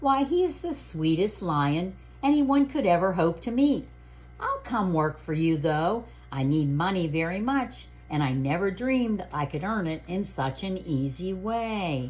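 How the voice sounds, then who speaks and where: The speaker uses a put-on character voice at a middle pitch and moderate pace. Light background noise can be heard. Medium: read story. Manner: firm, proper.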